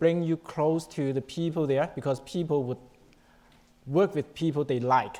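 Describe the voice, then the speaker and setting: A Chinese accent at a moderate pace. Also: man. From China. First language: Chinese (Mandarin, Cantonese). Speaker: panelist, insurance professional. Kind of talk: panel discussion.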